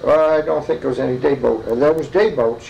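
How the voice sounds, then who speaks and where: With noticeable background noise behind him, a man with an American accent talks at a very fast pace in a fairly high pitch. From Germantown, New York. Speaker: retired farmer and electrician. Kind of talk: oral history interview answer.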